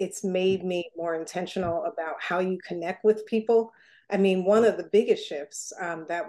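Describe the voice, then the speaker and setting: A normal speaking voice with an American accent carries fairly even intonation. The background is quiet. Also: woman. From Newark, New Jersey. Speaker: foundation president. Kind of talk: interview.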